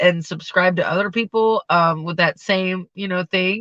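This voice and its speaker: Pitched at a medium level, a woman's voice carries fairly even intonation. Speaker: vlogger and restaurant server. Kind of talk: casual livestream chat. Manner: loud; casual, rambling with fillers.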